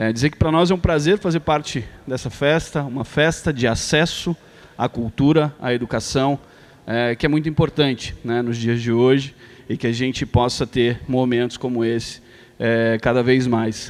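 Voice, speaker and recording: A man's medium-pitched voice shows ordinary pitch variation as he talks at a moderate pace. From Brazil, São Paulo. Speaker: foundation president. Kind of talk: ceremonial speech. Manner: hesitant, many fillers.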